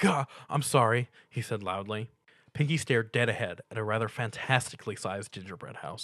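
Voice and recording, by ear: Natural-voiced reading aloud, pitch moving in an ordinary way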